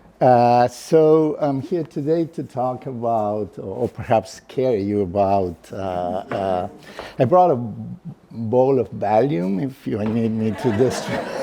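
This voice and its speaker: A man speaks very slowly amid noticeable background noise. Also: medium pitch for a man, lively intonation. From Argentina, Buenos Aires. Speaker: professor. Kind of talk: lecture. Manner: hesitant, many fillers.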